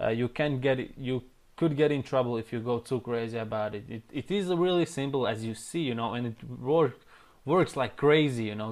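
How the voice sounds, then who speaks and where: His pitch is medium and varies in an ordinary way. The man keeps a moderate pace. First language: not English. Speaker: online marketing trainer. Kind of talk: tutorial. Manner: casual.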